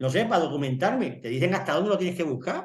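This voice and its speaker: Speaking in an Extremaduran accent, a man shows ordinary pitch variation. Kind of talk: casual chat.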